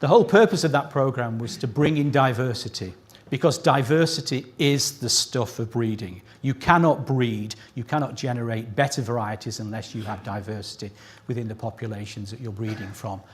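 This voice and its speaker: A man speaks at a medium pitch with ordinary pitch variation and a somewhat breathy voice. His loudness swings widely, and the recording is very clean with a silent background. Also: fairly quick pace. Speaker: scientist presenting a prize citation. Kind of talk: award ceremony speech. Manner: higher pitch when excited.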